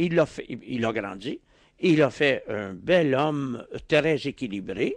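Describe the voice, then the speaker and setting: Dry and free of echo, the audio sits against a quiet background. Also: man. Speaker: philosopher; interview guest. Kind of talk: radio interview. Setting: radio studio. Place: studio. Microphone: studio mic.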